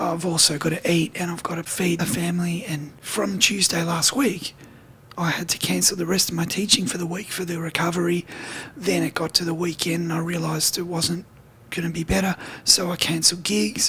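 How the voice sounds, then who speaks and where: Speaking at a fairly quick pace, a man with a breathy, high voice keeps his intonation fairly even over noticeable background noise. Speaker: guitar teacher and gigging musician. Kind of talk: video diary.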